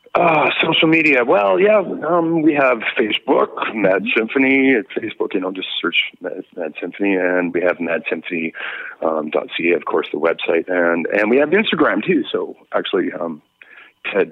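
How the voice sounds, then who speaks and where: A man at a moderate pace with a Western Canadian accent. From British Columbia, Canada (Victoria). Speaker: rock musician, singer. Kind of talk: interview chat. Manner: halting, repetitive fillers.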